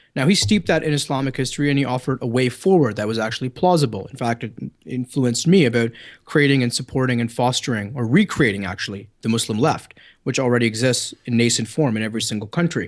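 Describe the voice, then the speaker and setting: A man speaks very fast with a Canadian accent. His pitch is medium with ordinary variation, over a quiet background. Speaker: writer and commentator. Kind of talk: heated debate. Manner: animated, interrupting.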